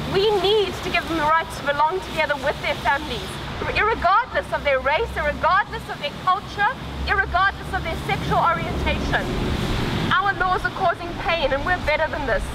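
Fairly quick speech over loud background noise. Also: woman. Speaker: activist speaker. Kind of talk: rally speech. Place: street.

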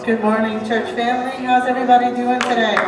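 Music plays behind a woman's voice, and audible echo fills the room. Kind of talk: church welcome and exhortation. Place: church.

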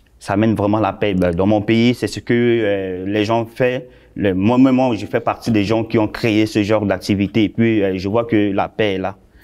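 A man talks in a fairly low pitch. His intonation is monotone and flat. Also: moderate pace, quiet background. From Central African Republic. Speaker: shopkeeper, former carpenter; interview guest. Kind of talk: interview. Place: studio. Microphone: lapel.

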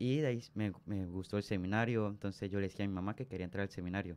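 A man with a fairly low pitch talks at a fairly quick pace, his intonation fairly even. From Venezuela, southern Táchira state. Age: young. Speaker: seminarian; radio guest. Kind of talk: radio interview testimony. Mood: earnest, warm. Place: studio. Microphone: studio mic.

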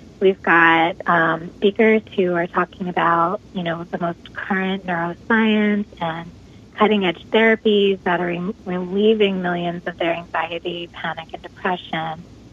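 A woman speaks in a monotone, flat intonation with hardly any pauses. Noticeable background noise sits behind her. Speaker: trauma healing summit organizer. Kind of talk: interview. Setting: phone call.

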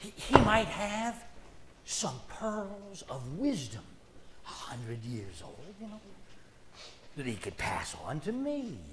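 With loud background noise around him, a man speaks at a very slow pace, broken by long, frequent pauses. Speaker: storyteller. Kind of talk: storytelling performance. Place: stage. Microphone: headset.

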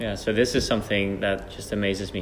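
Light background noise is audible. Over it, a man talks at a moderate pace. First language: Dutch. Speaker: archer and channel host. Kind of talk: interview. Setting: training centre. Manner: halting. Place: hall.

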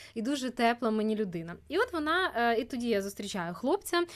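The recording is very clean with a silent background. A woman with a normal speaking voice talks fairly quickly at a fairly high pitch. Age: 20s. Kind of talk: casual chat.

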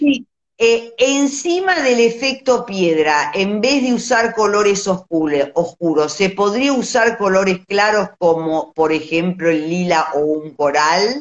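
Against a quiet background, a woman speaks at a very slow pace with very wide pitch swings. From Argentina. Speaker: visual artist, live-stream host; host of art talk. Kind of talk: casual live-stream chat. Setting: Instagram live video. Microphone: phone near.

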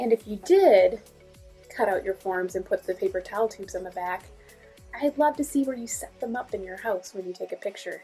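Faint music plays behind the speech. The woman's pace is fairly quick. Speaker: art teacher. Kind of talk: tutorial. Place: home room. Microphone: phone near.

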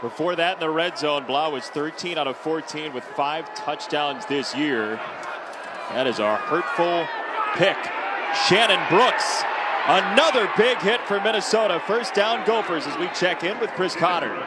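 Against noticeable background noise, a man with a high pitch and lively intonation speaks at a fairly slow pace. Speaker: play-by-play announcer. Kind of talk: live sports commentary, play-by-play. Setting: stadium broadcast, football game.

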